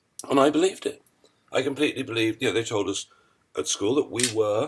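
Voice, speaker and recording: Lively intonation from a man, medium in pitch and somewhat breathy. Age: 60s. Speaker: podcast host. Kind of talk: interview conversation.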